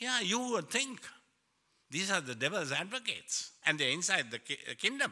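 Raised and projected, a man's high-pitched voice has a bright, sharp tone, very wide pitch swings, a moderate pace and long, frequent pauses. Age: 70s. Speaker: pastor. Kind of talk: sermon. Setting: church. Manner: halting, repeats words.

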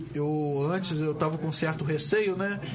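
There is noticeable background noise. Over it, a man is talking. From Brazil, Campos dos Goytacazes (RJ). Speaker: community radio host. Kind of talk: casual chat. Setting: studio. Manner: animated.

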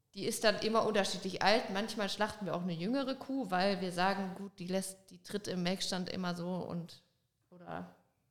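A woman with a normal speaking voice, medium pitch, fairly even intonation, big swings in loudness and a moderate pace. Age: 20s. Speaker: dairy farmer. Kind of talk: casual interview chat. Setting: studio, in person.

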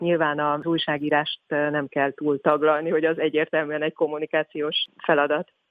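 A fairly quick delivery with hardly any pauses. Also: woman. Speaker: communications manager at a charity. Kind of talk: interview.

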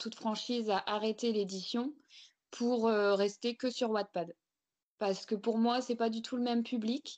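Over a quiet background, a woman speaks very slowly at a fairly high pitch with fairly even intonation. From France, Picardy. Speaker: romance novelist. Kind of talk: interview. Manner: hesitant, many fillers.

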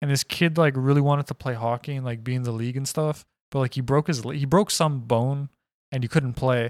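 With a normal speaking voice, the speaker talks at a fairly quick pace and fairly even intonation in a very clean recording with a silent background and a dry, close sound with no echo. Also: man, medium pitch for a man. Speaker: podcast co-host. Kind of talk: casual banter comedy chat.

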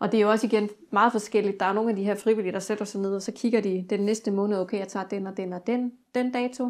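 A woman's very fast, monotone, flat delivery at a medium pitch. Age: 40s. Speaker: student house manager. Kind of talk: interview. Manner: hesitant with many fillers.

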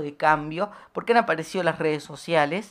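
A woman speaks at a moderate pace. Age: 20s. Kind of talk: radio interview. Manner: halting.

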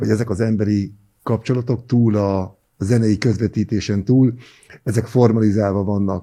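A man with a dark, mellow tone and medium pitch talks at a moderate pace, his pitch varying in an ordinary way. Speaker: podcast host. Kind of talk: interview. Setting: studio.

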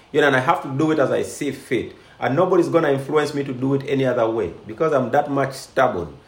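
Over audible room echo, a man with a fairly high pitch talks at a fairly quick pace with lively intonation. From Uganda. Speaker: life coach and show host. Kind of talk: live-streamed interview.

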